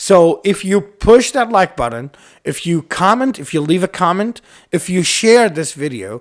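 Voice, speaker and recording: A man speaks at a high pitch, moving through very wide pitch swings. His pace is fairly slow. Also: very clean recording, silent background. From Iraq. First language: Arabic. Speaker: YouTube host. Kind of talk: casual podcast chat. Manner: halting, with many fillers.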